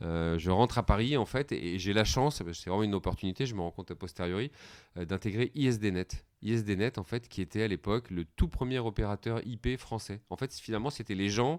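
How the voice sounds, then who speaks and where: A man at a fairly low pitch and fairly quick pace, with ordinary pitch variation, a dry, close sound with no echo and a very clean recording with a silent background. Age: 40s. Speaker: company founder and CEO. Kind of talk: podcast interview. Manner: hesitant, many fillers.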